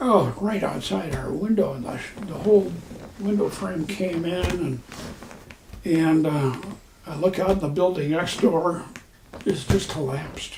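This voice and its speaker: Through noticeable background noise, a man with an American accent speaks in a high pitch at a fairly slow pace, with ordinary pitch variation and long, frequent pauses. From Texas. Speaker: war veteran. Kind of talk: interview answer.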